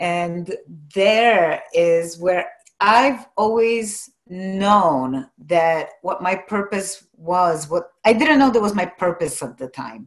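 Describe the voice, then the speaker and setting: A woman with a Polish accent, very slow in pace, medium in pitch, lively in intonation. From Poland. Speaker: life coach. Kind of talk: interview.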